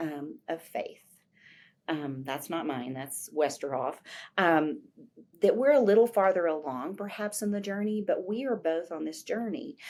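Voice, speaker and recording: On a very clean recording with a silent background, a woman at medium pitch speaks at a fairly slow pace with very wide pitch swings. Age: 60s. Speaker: professor of teacher education. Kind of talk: interview conversation.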